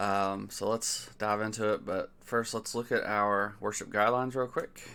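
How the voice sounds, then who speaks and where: In a very clean recording with a silent background, a soft-spoken man mumbles in a fairly low pitch with a bright, sharp tone and monotone, flat intonation. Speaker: worship song reviewer. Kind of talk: casual commentary review. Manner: mumbling.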